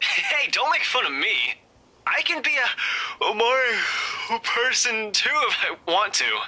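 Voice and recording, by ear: A man's put-on character voice, high-pitched with big pitch swings, bright and sharp in tone with a slightly husky edge, at a slow pace.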